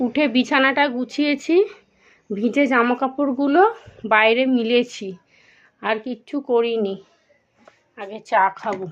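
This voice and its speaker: A woman speaks in a high voice whose pitch varies in an ordinary way. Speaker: vlogger. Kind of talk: casual vlog talk. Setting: at home.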